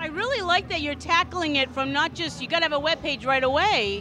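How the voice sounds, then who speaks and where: A woman with a Central Massachusetts accent, high-pitched, raised and projected, very fast, with lively intonation amid noticeable background noise. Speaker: event interviewer. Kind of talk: casual interview. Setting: business showcase event at restaurant.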